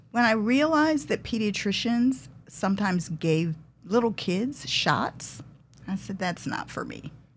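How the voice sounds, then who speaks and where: Somewhat breathy, a woman speaks at a fairly slow pace with very wide pitch swings. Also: medium pitch for a woman. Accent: American. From Detroit, Michigan. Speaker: bankruptcy lawyer. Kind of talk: casual interview.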